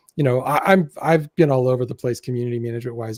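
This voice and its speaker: A man with a medium-pitched, dark, mellow tone talks at a very fast pace, somewhat breathy, in a dry, close sound with no echo. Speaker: podcast host, community manager. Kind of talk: casual panel discussion. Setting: live webcast.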